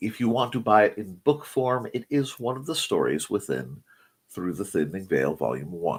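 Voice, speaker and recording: Male voice with vocal fry, very wide pitch swings and big jumps in loudness. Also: fairly low pitch for a man, moderate pace. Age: middle-aged. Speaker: morning show host, author and artist. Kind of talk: casual chat. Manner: halting, self-correcting.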